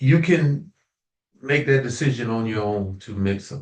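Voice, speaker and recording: A man's somewhat breathy voice at a medium pitch, fairly slow, with ordinary pitch variation. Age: 70s. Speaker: natural health consultant, minister. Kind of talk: casual chat. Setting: community call.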